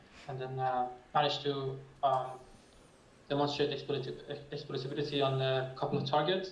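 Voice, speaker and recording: This man talks at a fairly quick pace with a fairly high pitch and monotone, flat intonation, leaving long, frequent pauses. Noticeable background noise and audible room echo fill the recording. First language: not English. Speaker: cybersecurity researcher. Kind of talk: conference panel discussion. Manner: halting.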